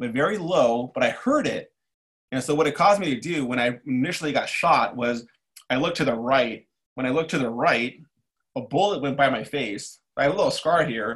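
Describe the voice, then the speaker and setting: Here a man uses a normal speaking voice at medium pitch with ordinary pitch variation. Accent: American. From East Los Angeles, California. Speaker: army veteran. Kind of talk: casual interview.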